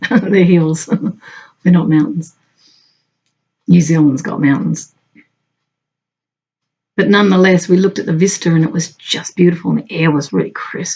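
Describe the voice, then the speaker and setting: The voice has a dark, mellow tone, a somewhat breathy quality and an Australian accent. It moves at a moderate pace with ordinary pitch variation and long, frequent pauses. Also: woman, fairly low pitch for a woman. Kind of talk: casual talk to camera. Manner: chatty, conversational.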